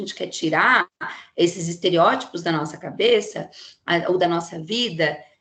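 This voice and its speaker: A woman's animated voice at a fairly slow pace. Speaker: psychologist giving a talk. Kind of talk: lecture.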